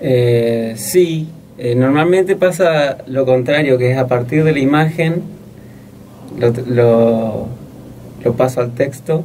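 A medium-pitched man at a very slow pace, with long, frequent pauses and light background noise. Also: ordinary pitch variation. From Corrientes, Argentina. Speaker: young poet. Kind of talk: interview; poetry reading. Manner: halting. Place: studio. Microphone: studio mic.

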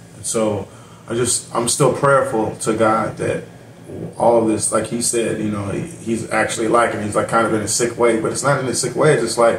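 At a moderate pace, a man talks over light background noise, with audible room echo around him. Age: 40s. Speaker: YouTube reaction channel host. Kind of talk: reaction commentary. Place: home room. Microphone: webcam.

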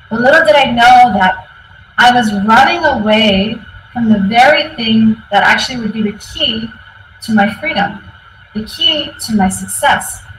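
A woman with an American accent talks at a fairly slow pace with ordinary pitch variation. Light background noise and audible room echo are present. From US West Coast, San Francisco; California. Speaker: tech team lead, conference speaker; conference speaker. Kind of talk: conference talk. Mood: reflective, personal storytelling. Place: office. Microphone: webcam.

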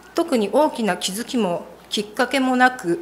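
A woman speaks at a high pitch and a moderate pace. Light background noise can be heard. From Japan. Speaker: church member. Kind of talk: testimony. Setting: church. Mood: earnest, calm. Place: church. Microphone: podium.

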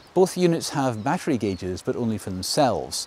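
A man's pitch swings widely. His tone is slightly mellow.

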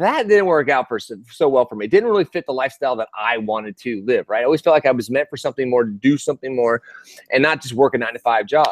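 Very fast and animated, a man speaks with an enthusiastic tone over a quiet background, the sound dry with no echo. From Texas. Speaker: online business coach. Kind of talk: live sales webinar. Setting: live video stream. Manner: animated, enthusiastic. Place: street. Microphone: earbuds.

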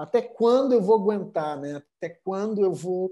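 A man's dark, mellow tone with lively intonation over a quiet background. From southern Brazil, Porto Alegre; Rio Grande do Sul, Brazil. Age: 40s. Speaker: art curator; guest. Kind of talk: interview conversation. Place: home room. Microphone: earbuds.

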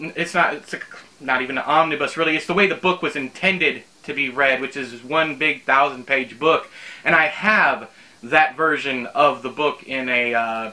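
A man speaks at a moderate pace, his pitch shifting in an ordinary way. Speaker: book reviewer. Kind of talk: casual vlog chat. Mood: amused, mildly exasperated. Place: home room.

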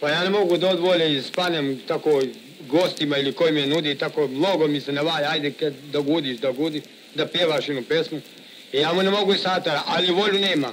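Over light background noise, a man with an unremarkable speaking voice talks fairly quickly at a fairly high pitch with ordinary pitch variation. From Sandžak, Serbia (village Glogovik near Novi Pazar); Serbia. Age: 30s. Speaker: café owner and gusle singer. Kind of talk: interview. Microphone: old recording.

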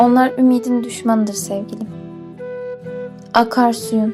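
A woman speaks at a fairly slow pace in a fairly high voice, her intonation fairly even. Music plays in the background. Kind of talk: poetry reading.

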